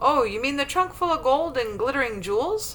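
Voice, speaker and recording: A woman's put-on character voice, high-pitched with very wide pitch swings and a fairly quick pace, over clear background noise. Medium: read story.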